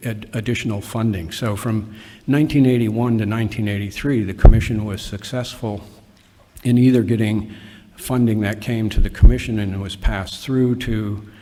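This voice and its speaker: In a room with audible echo, a man speaks at a moderate pace in a fairly low pitch, his intonation fairly even but his loudness swinging widely. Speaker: commission official giving meeting overview. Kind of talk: formal meeting presentation. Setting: meeting hall with audience, microphone. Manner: halting, many fillers and restarts.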